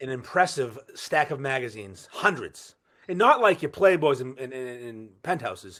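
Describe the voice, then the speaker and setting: A man with a Boston accent talks at a moderate pace and a medium pitch. His intonation is lively, his tone bright and sharp, and his loudness swings widely. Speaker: podcaster. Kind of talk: casual chat. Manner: animated.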